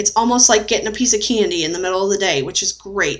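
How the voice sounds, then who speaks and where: A woman's speech shows ordinary pitch variation. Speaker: weight loss surgery patient; vlogger sharing surgery routine. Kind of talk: casual talk to camera. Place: home room. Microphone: webcam.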